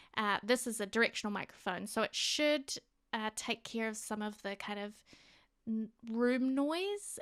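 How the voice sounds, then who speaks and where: A woman's fairly high-pitched voice with a New Zealand accent at a fairly slow pace, on a very clean recording with a silent background and a dry, close sound with no echo. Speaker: gaming youtuber. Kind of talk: voiceover narration. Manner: casual, hesitant. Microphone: new directional microphone.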